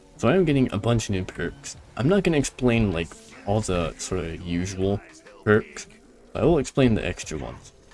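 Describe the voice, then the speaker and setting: With music in the background, the speaker uses an animated tone, very wide pitch swings and a fairly quick pace. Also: man, fairly low pitch for a man. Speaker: gaming youtuber. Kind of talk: gameplay commentary. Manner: casual, animated.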